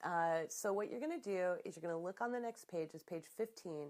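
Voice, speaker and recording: A normal speaking voice from a woman, fairly low in pitch, at a fairly quick pace with ordinary pitch variation. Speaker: business coach. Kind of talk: tutorial; guided relaxation. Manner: casual, conversational.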